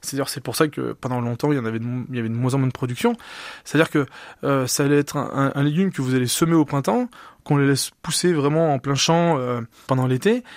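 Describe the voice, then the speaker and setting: Against a silent background in a very clean recording, a man with a fairly high pitch talks very fast with ordinary pitch variation. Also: dry, close sound with no echo. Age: 30s. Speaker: food entrepreneur. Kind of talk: radio interview. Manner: halting, with fillers.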